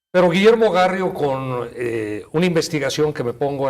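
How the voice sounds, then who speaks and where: With ordinary pitch variation, this male speaker keeps a moderate pace. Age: 60s. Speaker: family law attorney. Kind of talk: TV interview. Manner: halting, with fillers.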